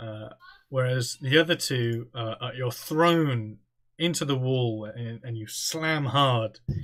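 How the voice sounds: Ordinary pitch variation runs through the delivery. It is a natural reading voice.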